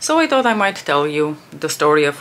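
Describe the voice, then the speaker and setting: This woman has a very deep, low pitch. Noticeable background noise runs behind her. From Bulgaria, Armenian family. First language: Bulgarian (Armenian at home as a toddler). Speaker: beauty youtuber. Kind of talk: makeup tutorial chat. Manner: casual, many fillers.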